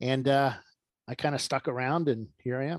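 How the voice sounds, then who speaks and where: A man's plain, everyday voice, medium in pitch, with ordinary pitch variation. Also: dry, close sound with no echo, quiet background. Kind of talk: casual interview chat. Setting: video call.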